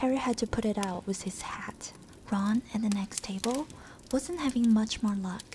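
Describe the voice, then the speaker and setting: Soft-spoken and gentle in tone, a woman talks at a moderate pace with ordinary pitch variation over light background noise. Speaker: ASMR content creator. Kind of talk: audiobook-style reading of a novel, ASMR. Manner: soft-spoken, gentle. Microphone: studio mic.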